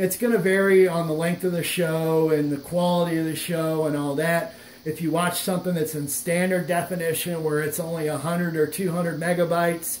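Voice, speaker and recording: Over noticeable background noise and audible room echo, a man with a high pitch speaks at a fairly quick pace in a monotone, flat intonation with hardly any pauses. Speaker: tech YouTuber and device seller. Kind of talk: tutorial. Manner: fast.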